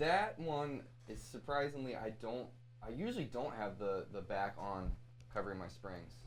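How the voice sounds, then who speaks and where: The speaker has an American accent and vocal fry, with lively intonation at a moderate pace. Room echo is audible. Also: man, medium pitch for a man. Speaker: guitarist. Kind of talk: casual chat. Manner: halting, many fillers.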